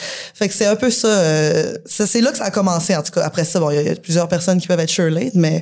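Noticeable background noise runs under the speech. The pace is fairly quick, with hardly any pauses. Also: woman, fairly low pitch for a woman, ordinary pitch variation. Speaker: punk rock musician. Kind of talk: casual chat. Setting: bar with live audience.

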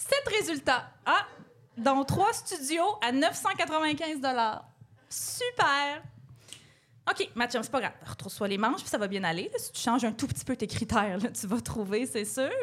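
A woman's high voice with very wide pitch swings, a very slow pace and long, frequent pauses. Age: 30s. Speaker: podcast co-host. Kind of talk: comedy monologue. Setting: stage with audience.

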